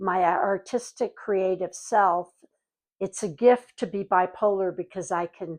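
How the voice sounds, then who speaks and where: A woman talks in a normal speaking voice at medium pitch. Her pace is fairly slow and her intonation fairly even. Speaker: actor. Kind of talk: interview answer.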